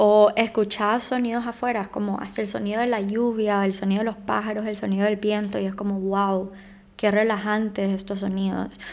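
A woman speaks in a flat monotone at a moderate pace. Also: medium pitch for a woman. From Honduras. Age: 20s. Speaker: podcast host. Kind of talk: casual advice monologue.

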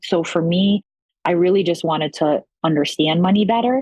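A woman with an unremarkable speaking voice talks at a fairly quick pace and a fairly low pitch, with ordinary pitch variation. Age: 40s. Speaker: school director and coaching client. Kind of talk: podcast interview.

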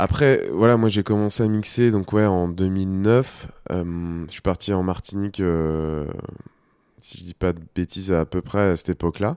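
In a very clean recording with a silent background and a dry, close sound with no echo, the speech runs at a fairly slow pace, with big swings in loudness and ordinary pitch variation. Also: man, very deep, low pitch for a man. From France, Nantes. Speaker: DJ. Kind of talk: radio interview. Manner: halting.

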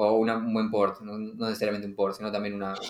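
This man talks fairly quickly in a fairly low voice. His intonation is flat and monotone. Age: 30s. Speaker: podcast host. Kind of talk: casual chat. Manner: halting, many repetitions.

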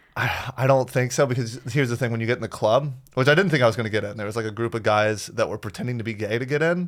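Very fast, hardly any pauses, ordinary pitch variation, with an American accent. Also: man, medium pitch for a man. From US South, Florida. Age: 20s. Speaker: stand-up comedian. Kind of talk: casual chat.

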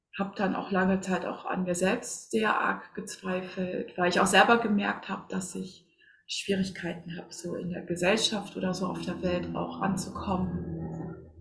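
A fairly slow delivery over noticeable background noise. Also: woman. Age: 40s. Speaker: spiritual coach and medium. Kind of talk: casual interview.

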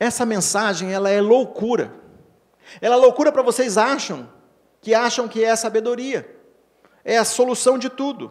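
On a very clean recording with a silent background, a man with an extremely high pitch speaks at a moderate pace, his fairly even intonation broken by long, frequent pauses. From Brazil, Paraná. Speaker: pastor. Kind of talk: sermon. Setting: church. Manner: halting.

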